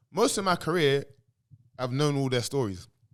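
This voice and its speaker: Loud and animated, a man with a London accent talks at a fairly quick pace, his fairly high voice making very wide pitch swings. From England. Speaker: former footballer. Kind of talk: casual chat.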